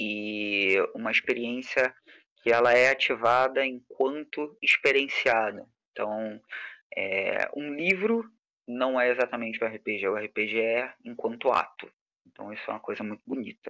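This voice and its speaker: A man with a Carioca accent, medium pitch and a bright, sharp tone, at a fairly slow pace with ordinary pitch variation. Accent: carioca, chiado (hissing s). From Rio de Janeiro periphery, Brazil. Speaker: game designer and teacher. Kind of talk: online lecture. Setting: live stream with chat.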